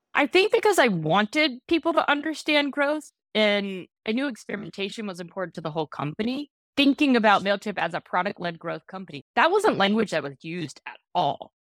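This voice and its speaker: Speaking at a fairly quick pace with an American accent, the voice swings very widely in pitch and greatly in loudness. The recording is very clean with a silent background, and the sound is dry and close with no echo. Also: woman, medium pitch for a woman. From northern US. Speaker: growth executive. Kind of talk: interview. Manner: direct.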